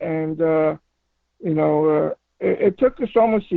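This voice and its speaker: A man speaks at a fairly slow pace with a fairly high pitch. His pitch varies in an ordinary way. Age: 60s. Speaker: paranormal investigator. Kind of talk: radio interview. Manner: halting, many fillers and repeats.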